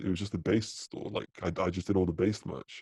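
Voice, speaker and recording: Very deep, low male voice with a dark, mellow tone, monotone, flat intonation and a moderate pace, dry and close with no echo over a quiet background. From UK. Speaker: apparel company co-founder. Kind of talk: podcast interview. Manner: casual, filler-heavy.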